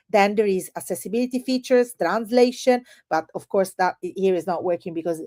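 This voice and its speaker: With an Italian accent, a woman speaks in a medium pitch and dark, mellow tone with ordinary pitch variation, in a dry, close sound with no echo. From Italy. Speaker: edtech presenter. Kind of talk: webinar product demo. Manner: animated.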